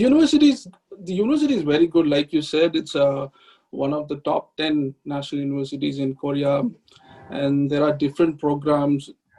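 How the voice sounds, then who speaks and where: A man speaks at a fairly quick pace with fairly high pitch and fairly even intonation, music playing in the background. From Tamil Nadu, India (Vellore). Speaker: PhD student. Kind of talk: interview.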